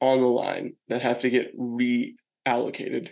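This is a man speaking. He has an American accent. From United States. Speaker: sports podcast host. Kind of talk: solo sports commentary podcast. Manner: casual with filler words.

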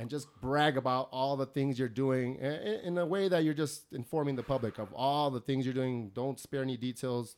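With an American accent, a man talks at a moderate pace in a normal speaking voice, medium in pitch with ordinary pitch variation. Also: hardly any pauses. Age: 30s. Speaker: podcast host. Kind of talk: casual chat. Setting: home studio.

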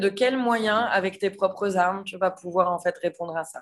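A woman's normal speaking voice with ordinary pitch variation. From western France (Nantes, Vendée). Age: 30s. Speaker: chef and restaurant owner. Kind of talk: casual interview chat.

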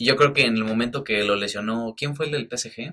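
A man with a Mexican accent speaks in a bright, sharp tone with ordinary pitch variation. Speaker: football podcast host. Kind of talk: casual chat.

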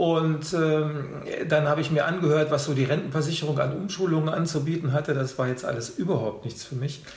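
Fairly quick delivery with hardly any pauses, against noticeable background noise. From Hannover, northern Germany. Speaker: food photographer and former chef. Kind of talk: interview. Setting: in person, sitting across from host. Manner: hesitant, many fillers.

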